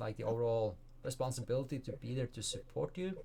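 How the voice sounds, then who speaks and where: A man with a Norwegian accent speaks at a moderate pace in a dark, mellow tone. His voice is somewhat breathy, and his intonation is lively. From Norway. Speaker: life coach and speaker. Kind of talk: interview.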